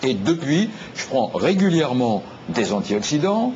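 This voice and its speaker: A man with very wide pitch swings, over noticeable background noise. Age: 60s. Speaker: health talk show guest. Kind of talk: TV talk show discussion.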